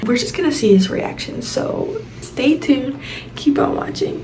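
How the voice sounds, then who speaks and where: A woman speaks at a moderate pace. Noticeable background noise and audible room echo are present. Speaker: YouTube vlogger. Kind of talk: casual vlog to camera. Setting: at home. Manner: quiet.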